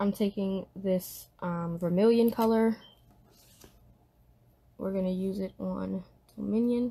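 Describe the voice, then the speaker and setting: A woman talks at a very slow pace in a medium pitch, her intonation fairly even. Her tone is dark and mellow, and somewhat breathy. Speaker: livestreamer leading a Bible study. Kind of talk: casual tutorial chat. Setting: indoors at a desk, live stream. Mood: relaxed, calm.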